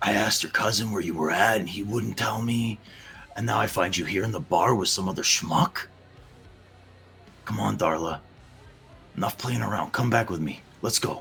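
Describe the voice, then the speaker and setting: In a put-on character voice, a man sounds gruff and raspy, pitched fairly low and speaking at a moderate pace. Clear background noise runs behind him. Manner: pleading, confrontational.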